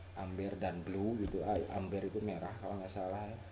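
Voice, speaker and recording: A man's very deep, low voice with a West Javanese accent, amid audible room echo and noticeable background noise. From West Java, Sundanese (Garut). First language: Sundanese (speaking Indonesian). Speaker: photographer, camera tutorial youtuber. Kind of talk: tutorial. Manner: halting, self-correcting; casual, informal.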